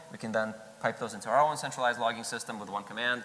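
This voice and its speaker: Medium male pitch, fairly even intonation, audible room echo. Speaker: conference speaker, software engineer. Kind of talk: conference talk. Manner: fast.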